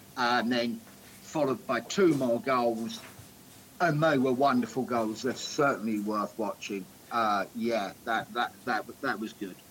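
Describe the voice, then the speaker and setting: Over noticeable background noise, a man talks at a fairly slow pace with a medium pitch and ordinary pitch variation. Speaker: football podcast co-host. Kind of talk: casual chat. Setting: remote call.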